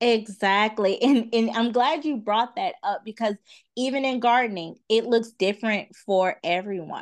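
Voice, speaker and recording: The woman has an unremarkable speaking voice at a fairly high pitch with ordinary pitch variation. She speaks at a moderate pace over a quiet background. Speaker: gardening content creator. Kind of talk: casual chat.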